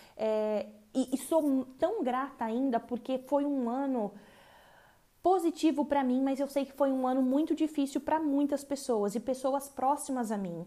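Speaking at a fairly slow pace, a woman has a high pitch, a dark, mellow tone and ordinary pitch variation. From Brazil. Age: 20s. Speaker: podcaster. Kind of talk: personal reflective monologue.

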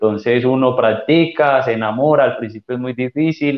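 This man talks at a moderate pace in a plain, everyday voice, his intonation fairly even. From Colombia, Chocó. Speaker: teqball player and coach. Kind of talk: casual interview.

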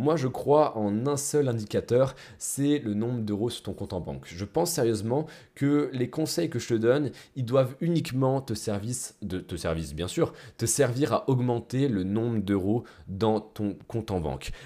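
At a fairly slow pace, a man with a medium pitch and a dark, mellow tone speaks with lively intonation on a very clean recording with a silent background. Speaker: business coach podcaster. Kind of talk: solo podcast monologue. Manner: casual, conversational.

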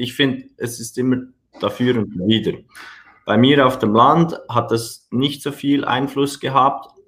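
He has a plain, everyday voice at medium pitch with ordinary pitch variation. The man talks at a fairly slow pace. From Switzerland. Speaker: personal trainer and gym owner. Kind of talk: podcast interview.

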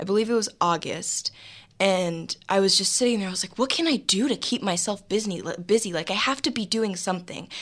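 A woman speaks at a fairly quick pace with noticeable background noise. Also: medium pitch for a woman, ordinary pitch variation. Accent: American. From Los Angeles, California. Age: young. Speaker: entrepreneur. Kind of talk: interview. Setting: studio.

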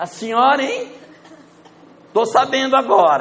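A man with a northern Brazilian accent at a fairly slow pace, amid noticeable background noise and audible room echo. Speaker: spiritist lecturer. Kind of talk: lecture.

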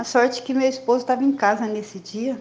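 High in pitch, this woman's delivery stays monotone and flat. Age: 60s. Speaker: recovering alcoholic sharing at support meeting. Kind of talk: testimony.

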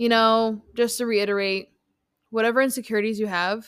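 A woman speaks in a plain, everyday voice. Her pitch is fairly high and her pace is moderate. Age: 20s. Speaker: fitness coach and podcast host. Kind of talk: casual solo podcast monologue.

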